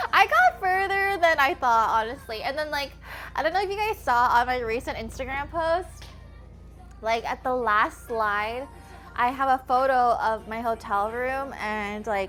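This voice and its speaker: The speech moves at a fairly slow pace with very wide pitch swings. Music plays in the background. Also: woman, high pitch for a woman. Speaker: streamer and home cook, former cooking show contestant. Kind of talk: casual livestream chat while cooking. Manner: casual, filler-heavy speech.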